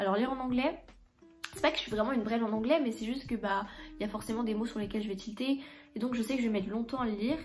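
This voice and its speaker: Music plays in the background as a woman talks very fast in a fairly high pitch. She takes long, frequent pauses, and her pitch varies in an ordinary way. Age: 20s. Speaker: book YouTuber. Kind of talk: casual vlog, book haul. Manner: hesitant, lots of filler 'euh'.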